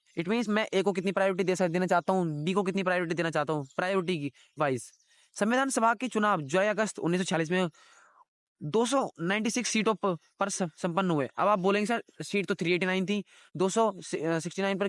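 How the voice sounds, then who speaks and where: A man with a high pitch talks at a moderate pace, his loudness very even and his pitch varying in an ordinary way. The sound is dry and close with no echo, over a quiet background. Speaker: teacher. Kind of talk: lecture. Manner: halting.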